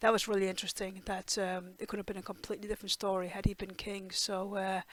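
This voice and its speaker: Talking at a very fast pace, a woman keeps her medium pitch in a monotone, flat intonation. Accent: Danish. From Denmark. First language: Danish. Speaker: TV reaction youtuber. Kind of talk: casual review monologue. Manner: hesitant, many fillers.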